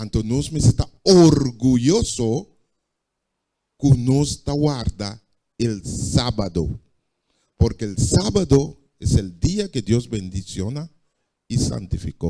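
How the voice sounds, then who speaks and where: In a Curaçaoan accent, a man speaks at a very slow pace with long, frequent pauses and a medium pitch. His tone is dark and mellow, and his pitch swings very widely. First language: Papiamento (speaking Spanish). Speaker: preacher. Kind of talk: sermon.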